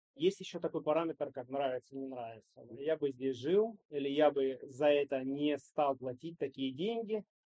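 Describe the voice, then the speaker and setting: With an ordinary speaking voice, a man talks at a moderate pace with hardly any pauses, a fairly high pitch and ordinary pitch variation. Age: 40s. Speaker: entrepreneur and investor. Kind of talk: interview.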